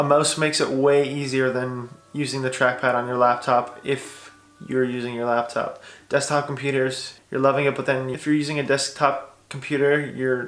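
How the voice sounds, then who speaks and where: Noticeable background noise and audible room echo surround a man speaking at a fairly high pitch in a monotone, flat intonation. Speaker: vlogger. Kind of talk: tutorial. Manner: fast; casual.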